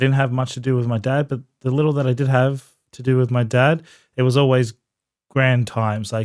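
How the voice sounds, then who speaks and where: A man with an Australian accent at a very fast pace, medium in pitch, with monotone, flat intonation. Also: very clean recording, silent background. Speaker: podcast co-host, breath coach. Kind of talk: casual interview chat.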